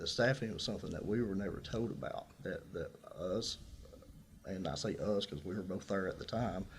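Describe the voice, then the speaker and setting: A man with a Tennessee accent speaks at a moderate pace, somewhat breathy. His fairly low pitch shows ordinary variation. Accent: Southern US (Tennessee). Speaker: incumbent sheriff, political candidate. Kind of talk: political candidate forum answers. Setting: radio studio.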